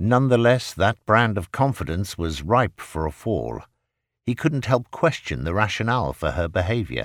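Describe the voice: Over a quiet background, the text gets plain reading aloud with lively intonation.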